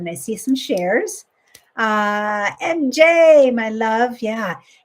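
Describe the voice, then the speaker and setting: This woman's voice is somewhat breathy. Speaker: life coach. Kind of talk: live coaching stream. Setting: live stream.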